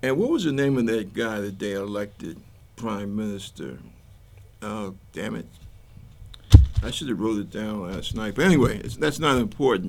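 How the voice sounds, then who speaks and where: A man with an American accent talks at a fairly low pitch, leaving long, frequent pauses. Audible room echo surrounds his voice. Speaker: talk show host. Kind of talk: political commentary monologue. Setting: TV studio taping. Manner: casual, conversational; slow, halting.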